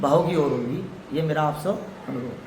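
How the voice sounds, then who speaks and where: Ordinary pitch variation from a man, with audible room echo and noticeable background noise. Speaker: villager. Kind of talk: interview testimony.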